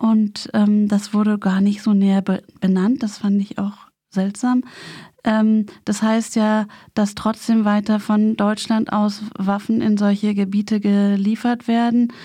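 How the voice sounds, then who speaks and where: A woman's somewhat breathy voice, dark and mellow in tone, very slow, with monotone, flat intonation and very even loudness. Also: medium pitch for a woman. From West Berlin, Germany. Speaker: community radio maker, daughter of a peace activist. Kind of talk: radio interview. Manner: halting.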